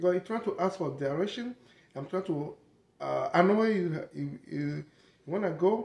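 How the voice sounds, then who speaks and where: Moving at a moderate pace, the man's voice shows ordinary pitch variation. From Togo, grew up in the south. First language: French and Togolese languages. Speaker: vlogger. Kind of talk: casual monologue. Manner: halting.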